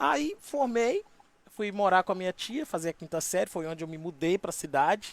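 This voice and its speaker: A man speaks at a high pitch. The recording is dry and close, with no echo. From Minas Gerais, Brazil (rural interior near Valadares). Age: 40s. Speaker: radio host. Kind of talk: interview. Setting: live stream. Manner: casual.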